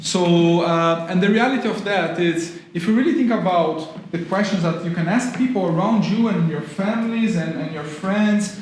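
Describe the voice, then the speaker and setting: A man with a Brazilian accent speaks at a moderate pace in a high pitch with ordinary pitch variation, amid noticeable background noise and audible room echo. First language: Portuguese. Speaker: university lecturer in tourism. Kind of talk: public talk.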